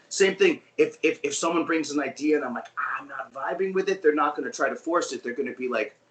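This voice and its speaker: A man with an American accent, very fast and with hardly any pauses, over noticeable background noise. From New York. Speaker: guitarist in a band. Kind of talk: interview chat. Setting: video call.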